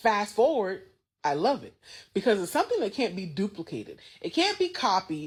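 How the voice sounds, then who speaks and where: In a very clean recording with a silent background, a woman with a medium pitch and a somewhat breathy voice talks at a moderate pace in an animated tone, her pitch swinging very widely and her loudness swinging a lot. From US South, Gullah Geechee region (coastal South Carolina/Georgia). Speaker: TikTok creator. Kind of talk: casual commentary video.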